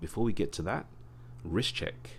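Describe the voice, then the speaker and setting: This man speaks with an English accent. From England. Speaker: watch reviewer, YouTuber. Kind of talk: casual video review. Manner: casual, hesitant with fillers.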